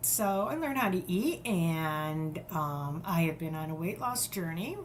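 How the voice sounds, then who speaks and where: Speaking at a very slow pace, a woman with a fairly low pitch is heard with audible room echo. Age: 60s. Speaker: podcast guest. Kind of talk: interview.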